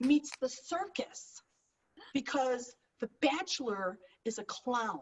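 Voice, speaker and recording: Loud and high-pitched, a woman speaks with an American accent. Her pace is very slow and her intonation lively. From Chicago. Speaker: stand-up comedian. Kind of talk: stand-up. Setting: video call.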